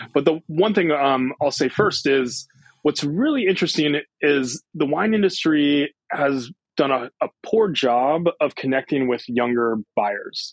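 A man with a plain, everyday voice speaks at a fairly high pitch and a fairly slow pace, with lively intonation and very even loudness. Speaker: winemaker. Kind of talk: interview.

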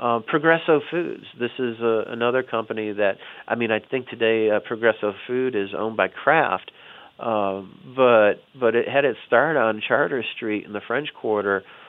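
A man's unremarkable speaking voice with an American accent, medium pitch, ordinary pitch variation, big swings in loudness and a moderate pace. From US South, Chicago family. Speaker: history professor and author. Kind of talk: interview.

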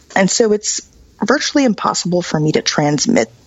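A woman speaks at a fairly slow pace with lively intonation, and noticeable background noise is present. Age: 40s. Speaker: medical cannabis advocate. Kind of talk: interview.

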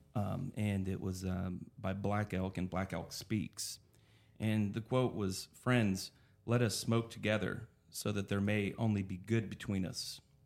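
A man speaks at a fairly slow pace in an ordinary speaking voice, with a fairly low pitch and an American accent. His intonation stays fairly even, and the recording is very clean with a silent background. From Oklahoma. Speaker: dispensary owner. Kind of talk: casual chat.

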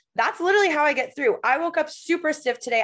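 Talking at a very fast pace, a woman with an American accent uses lively intonation and an animated tone. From Michigan, US. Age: 20s. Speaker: occupational therapist and health coach. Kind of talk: casual chat.

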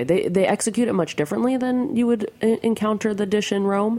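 A woman's dark, mellow tone at a fairly quick pace, with an American accent. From New Jersey, US. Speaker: food journalist. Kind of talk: casual interview. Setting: radio studio.

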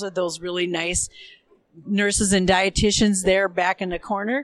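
In an American accent, a woman with an unremarkable speaking voice talks at medium pitch and a moderate pace, her intonation fairly even. The sound is dry and close with no echo, on a very clean recording with a silent background. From Minnesota, US. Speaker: diabetes nurse educator. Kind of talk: casual interview. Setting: recorded live at a conference.

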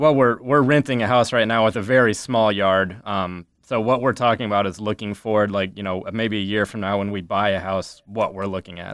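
Hardly pausing, a man talks with an American accent and fairly even intonation. He has an ordinary speaking voice with a fairly low pitch. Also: fairly quick pace. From US Midwest, Ames, Iowa. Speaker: litigant, nonprofit network assistant director. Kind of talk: casual chat.

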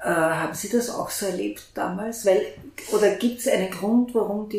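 A woman of medium pitch talks at a fairly slow pace. Audible room echo surrounds her voice. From Graz, Austria. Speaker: journalist, podcast host. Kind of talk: interview. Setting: back room of a coffee house.

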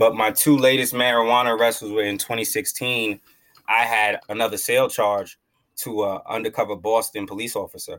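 A man speaks at a moderate pace and a medium pitch. His intonation is monotone and flat. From Long Island, New York. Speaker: cannabis activist. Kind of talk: interview.

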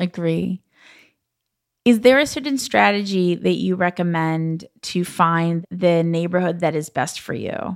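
A woman with an American accent, an ordinary speaking voice, fairly low pitch, lively intonation and a fairly slow pace. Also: very clean recording, silent background. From Los Angeles. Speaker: podcast host. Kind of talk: casual interview.

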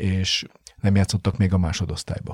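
A man's very deep, low, somewhat breathy voice at a moderate pace, dry and close with no echo, on a very clean recording with a silent background. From Hungary. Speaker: football coach. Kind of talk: interview. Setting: studio. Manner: halting.

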